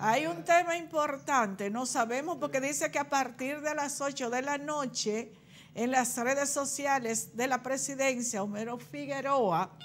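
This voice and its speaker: A woman talks at a moderate pace with a high pitch and ordinary pitch variation. Light background noise can be heard. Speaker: TV show host. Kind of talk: live TV commentary and call-in chat. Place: studio. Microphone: lapel.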